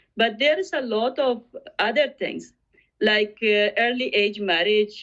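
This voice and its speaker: A woman's voice with ordinary pitch variation. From Afghanistan. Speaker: refugee advocate. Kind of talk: interview. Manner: halting, many fillers.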